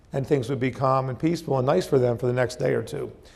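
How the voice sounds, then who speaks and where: Amid audible room echo, a man talks at a very fast pace, his medium pitch moving with ordinary variation. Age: 60s. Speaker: company founder and CEO. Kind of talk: motivational talk. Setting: stage with audience. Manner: hesitant, many fillers.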